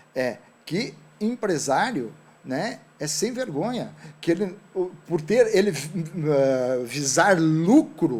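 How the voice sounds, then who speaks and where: A man speaks with a fairly high pitch and very wide swings in pitch. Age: 60s. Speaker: entrepreneur. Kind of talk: talk show interview.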